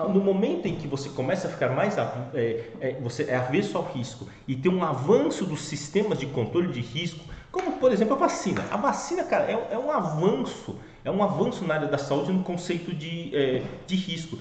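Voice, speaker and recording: Lively intonation amid audible room echo and noticeable background noise. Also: man, high pitch for a man, moderate pace. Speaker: finance educator. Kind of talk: educational talk. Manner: casual with fillers.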